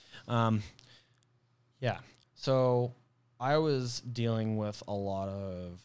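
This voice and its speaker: A man speaks in a fairly low voice, with ordinary pitch variation. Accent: American. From Arizona. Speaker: DJ and podcast guest. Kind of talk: personal testimony.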